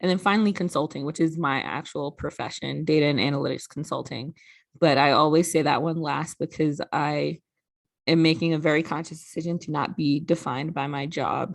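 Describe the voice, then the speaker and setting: A woman with a very deep, low pitch talks at a fairly quick pace, her voice showing vocal fry. Her intonation is fairly even, with a slight New York accent. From New York (Brooklyn). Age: 30s. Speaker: sorority regional director. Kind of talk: recorded presentation.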